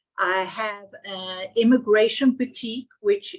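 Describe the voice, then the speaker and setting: A woman with a South African accent speaks at a fairly high pitch with ordinary pitch variation. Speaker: immigration lawyer. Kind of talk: webinar panel talk.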